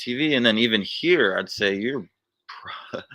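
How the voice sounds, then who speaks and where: An American accent marks this man's bright, sharp voice, which has lively intonation on a very clean recording with a silent background. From United States. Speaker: vlogger. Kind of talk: live stream chat.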